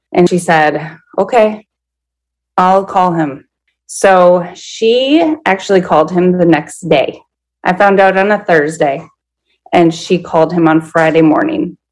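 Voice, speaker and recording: A woman with an unremarkable speaking voice and an American accent talks at a fairly slow pace and fairly low pitch, with very even loudness and ordinary pitch variation. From Minnesota. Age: 30s. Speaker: podcast guest sharing her story. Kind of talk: personal testimony in an interview.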